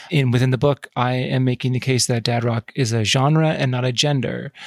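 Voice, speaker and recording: Speaking at a moderate pace, a man has a plain, everyday voice of medium pitch with fairly even intonation, in a dry, close sound with no echo. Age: 40s. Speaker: culture writer. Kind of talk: casual interview chat.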